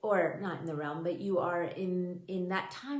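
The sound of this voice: In a room with strong echo, a woman speaks at a fairly slow pace and a fairly low pitch, with ordinary pitch variation.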